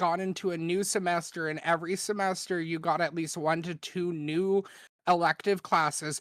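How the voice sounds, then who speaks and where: Fairly low in pitch, a woman speaks in a monotone with flat intonation. The recording is very clean, with a silent background. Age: 20s. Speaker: streamer. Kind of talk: casual chat. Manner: halting.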